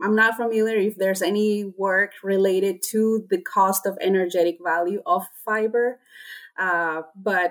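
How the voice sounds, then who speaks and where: Here a woman speaks with a Spanish accent. Her pitch is medium and her pace fairly slow. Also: very clean recording, silent background. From Honduras. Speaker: swine nutritionist. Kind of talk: interview. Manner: hesitant with many fillers.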